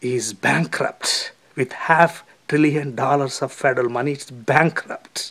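In an Indian accent, a man speaks at a very slow pace, his fairly high pitch held to fairly even intonation. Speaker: video commentator. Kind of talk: opinion commentary.

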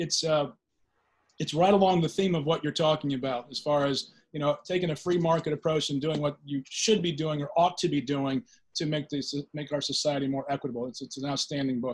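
Somewhat breathy, a man talks at a fairly quick pace. His intonation stays fairly even. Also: quiet background. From Virginia. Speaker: panel host, former state legislator. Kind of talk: panel interview. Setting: video call. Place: home room. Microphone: video call.

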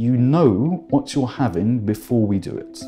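At a moderate pace a man talks, with faint music in the background. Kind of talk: interview answer. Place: office.

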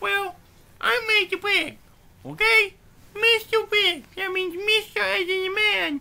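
A cartoonish character voice with a bright, sharp tone and vocal fry, at a slow pace with ordinary pitch variation

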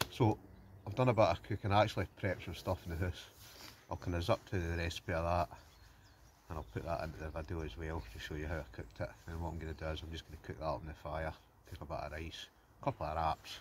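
Over light background noise, a man with a very deep, low pitch and vocal fry talks at a very fast pace, the sound dry with no echo. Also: ordinary pitch variation. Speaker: outdoor vlogger. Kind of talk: casual vlog chat. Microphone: phone near.

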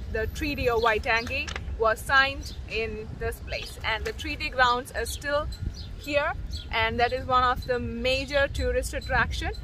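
A woman speaks at a moderate pace with a dry sound and no echo. Noticeable background noise runs under her voice. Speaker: travel vlogger. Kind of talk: casual vlog chat. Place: waterside. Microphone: phone near.

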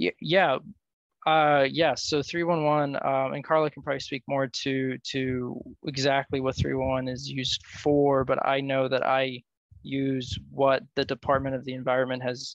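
The background is quiet. A man speaks with monotone, flat intonation. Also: dry sound with no echo. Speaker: policy analyst. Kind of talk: presentation. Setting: video call. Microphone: video call.

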